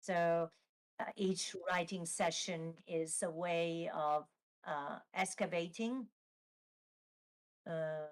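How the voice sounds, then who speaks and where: In an Italian accent, a woman speaks with a fairly low-pitched voice. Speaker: novelist. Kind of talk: interview Q&A at live book launch. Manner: halting, many fillers.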